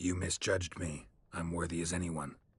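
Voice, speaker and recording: Using a put-on character voice, a man speaks at a moderate pace, very deep and low in pitch, raspy, with monotone, flat intonation. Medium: short film. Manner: terse.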